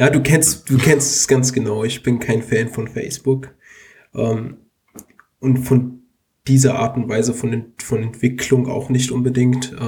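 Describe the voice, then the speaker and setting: A man talks very slowly at medium pitch in a monotone, flat intonation. His tone is dark and mellow, and somewhat breathy. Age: 20s. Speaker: computer science student and app developer. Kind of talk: casual tech podcast chat.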